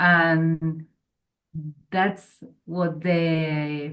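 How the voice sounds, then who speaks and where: Here a woman is speaking. She has a Spanish accent. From Argentina. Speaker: workshop participant. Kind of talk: group discussion.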